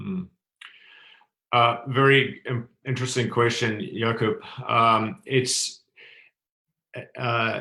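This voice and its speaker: With a New Zealand accent, a man speaks very slowly in a bright, sharp tone, with ordinary pitch variation and long, frequent pauses. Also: medium pitch for a man. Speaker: tourism industry expert, panelist. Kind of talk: panel discussion. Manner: halting, many fillers.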